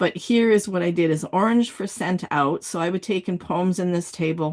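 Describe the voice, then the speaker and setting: A woman's fairly low-pitched voice with ordinary pitch variation. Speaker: writing coach. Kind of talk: online workshop. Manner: fast; animated.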